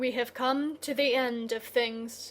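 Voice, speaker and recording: Using a put-on, high-pitched character voice, a woman speaks at a fairly slow pace in a flat monotone. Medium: read story. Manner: quiet.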